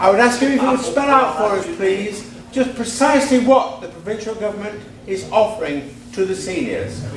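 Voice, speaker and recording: Over music in the background and audible room echo, a man speaks in a high pitch with lively intonation. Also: moderate pace. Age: 70s. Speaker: audience member asking a question. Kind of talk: public question at debate.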